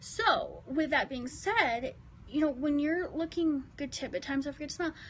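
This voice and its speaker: Using lively intonation, a woman with an American accent speaks at a moderate pace and a high pitch. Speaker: lifestyle vlogger. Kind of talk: live stream tips talk. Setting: office, phone livestream. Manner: casual, animated.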